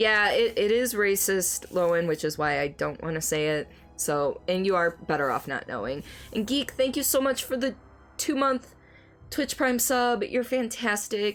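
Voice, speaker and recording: A woman's medium-pitched voice with very wide pitch swings at a moderate pace, music in the background. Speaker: video game streamer. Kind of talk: casual chat. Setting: live stream.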